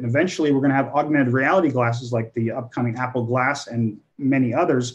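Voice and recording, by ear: With a medium pitch and slightly mellow tone, a man speaks at a fairly quick pace with fairly even intonation.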